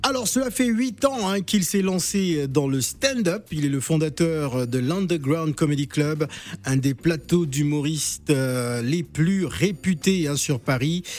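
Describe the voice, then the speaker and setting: Lively in intonation, a man speaks at a very slow pace. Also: fairly high pitch for a man. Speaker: radio host. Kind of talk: radio presenting, reading out a bio. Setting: radio studio.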